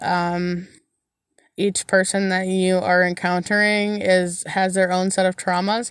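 A woman talks at a moderate pace and a medium pitch, her intonation monotone and flat. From Central Michigan. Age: 30s. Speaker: podcast host, solo traveler. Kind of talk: casual solo monologue answering listener questions. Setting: indoors at a house while dog sitting. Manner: conversational with frequent fillers.

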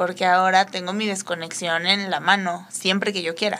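A woman talks at a fairly quick pace with noticeable background noise around her. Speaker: instagram creator. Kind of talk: casual chat.

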